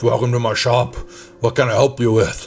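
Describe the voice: This man uses a put-on character voice at a medium pitch. He speaks at a fairly quick pace.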